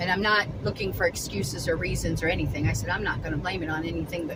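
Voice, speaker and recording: Very fast and very deep, a woman's voice swings widely in pitch amid noticeable background noise and audible room echo. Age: 60s. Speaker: vlogger selling at a market. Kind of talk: casual vlog monologue. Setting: in a car. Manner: chatty, conversational.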